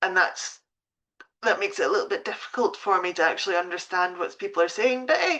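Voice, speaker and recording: This woman has a Scottish accent. She talks at a very fast pace. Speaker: pet sitting business coach. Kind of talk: live stream talk. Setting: Facebook live stream at home. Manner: hesitant, many fillers.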